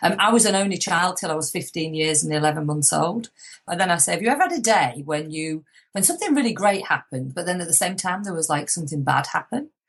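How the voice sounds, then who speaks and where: A woman with a fairly low pitch and a somewhat breathy voice talks at a very fast pace with lively intonation. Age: 50s. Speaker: motivational speaker and author. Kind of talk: interview.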